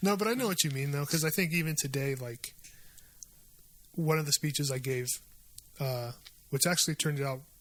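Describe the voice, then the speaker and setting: On a very clean recording with a silent background, a somewhat breathy man speaks very fast at a fairly high pitch with ordinary pitch variation and long, frequent pauses. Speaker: podcast host. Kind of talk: casual chat.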